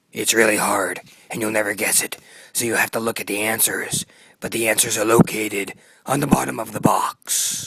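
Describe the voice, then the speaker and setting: At a moderate pace and medium pitch, a man puts on a raspy, cartoonish character voice. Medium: puppet show. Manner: solemn.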